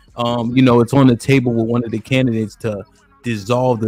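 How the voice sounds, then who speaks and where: Amid noticeable background noise, a man at a medium pitch talks very fast in a monotone, flat delivery. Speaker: live stream show host. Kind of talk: live panel discussion. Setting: live stream with chat.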